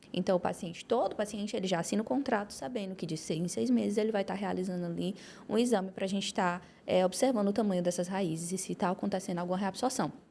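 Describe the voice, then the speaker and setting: At a very fast pace, a woman speaks at a medium pitch with ordinary pitch variation, a dark, mellow tone and vocal fry. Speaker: orthodontist and dental professor. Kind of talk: academic podcast discussion.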